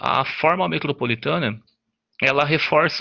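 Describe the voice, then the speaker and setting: Moderate pace and ordinary pitch variation in a man's speech. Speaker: student presenter. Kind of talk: class presentation. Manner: halting.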